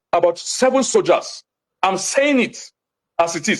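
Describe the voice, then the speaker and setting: A man with a Nigerian accent and lively intonation. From Nigeria, Jos (Plateau State). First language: Hausa. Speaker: lawyer. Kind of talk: TV interview. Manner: animated; fast.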